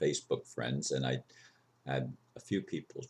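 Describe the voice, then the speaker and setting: A man talks at a fairly slow pace. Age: 60s. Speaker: video blogger. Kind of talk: personal vlog monologue.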